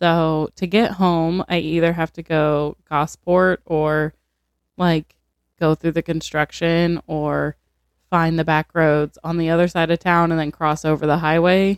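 A woman's fairly low, flat monotone at a fairly slow pace, in a dry, close sound with no echo. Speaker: podcast co-host. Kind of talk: casual chat with true crime reading.

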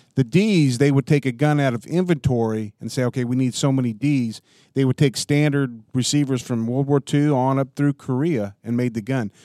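A man with an unremarkable speaking voice and an American accent talks fairly quickly at medium pitch with ordinary pitch variation. The recording is very clean, with a silent background. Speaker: firearms collector. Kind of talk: casual chat. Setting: shooting range.

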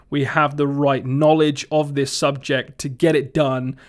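The speaker, recorded very cleanly against a silent background, talks with a Somerset accent. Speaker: retro gaming podcast host. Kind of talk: casual solo podcast talk. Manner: casual, filler-heavy.

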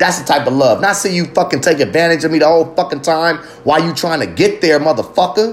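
A man's animated voice, fairly high in pitch, at a very fast pace with very even loudness and ordinary pitch variation, over noticeable background noise. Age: 30s. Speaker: podcast host. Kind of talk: casual rant. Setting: early morning solo recording. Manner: raw, unfiltered, animated.

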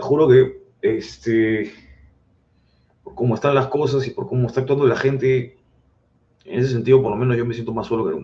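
A man's breathy-edged voice at medium pitch, fairly even in intonation, at a moderate pace with long, frequent pauses and big swings in loudness. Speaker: political commentator. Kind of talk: casual chat.

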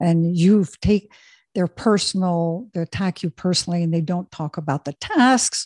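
A somewhat breathy, dark and mellow voice at a moderate pace, with ordinary pitch variation and a dry, close sound free of echo. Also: woman. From Switzerland. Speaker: executive coach. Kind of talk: interview.

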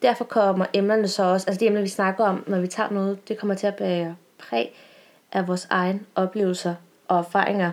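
A woman with an unremarkable speaking voice, medium in pitch, her intonation fairly even. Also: fairly quick pace. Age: 20s. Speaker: podcast co-host and university student. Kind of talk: casual chat.

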